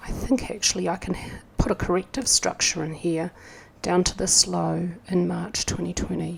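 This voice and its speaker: A woman speaks with a New Zealand accent. Her pace is moderate. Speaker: market analyst. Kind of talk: tutorial. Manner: thinking aloud, hesitant.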